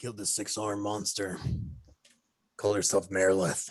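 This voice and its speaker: A man puts on a raspy character voice at a fairly low pitch. He speaks at a fairly quick pace with monotone, flat intonation. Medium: actual play. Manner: blunt, terse, tough.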